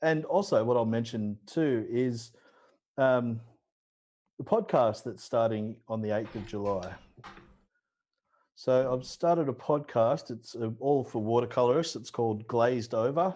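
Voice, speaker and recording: A man with an Australian accent speaks at medium pitch and a fairly slow pace, with ordinary pitch variation. He takes long, frequent pauses, and the background is quiet. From Australia (Newcastle, NSW). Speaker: watercolor painter. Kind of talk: casual chat during live painting demo.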